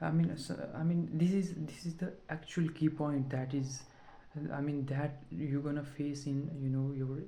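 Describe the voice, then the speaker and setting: Someone talks at a moderate pace with a non-native accent. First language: not English. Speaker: vlogger practicing English speaking. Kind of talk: casual monologue vlog. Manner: halting, many fillers and repetitions.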